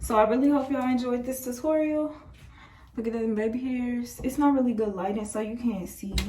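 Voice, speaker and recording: A woman's high-pitched voice at a fairly quick pace, fairly even in intonation, with audible room echo and noticeable background noise. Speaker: beauty vlogger. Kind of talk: tutorial. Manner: casual, chatty.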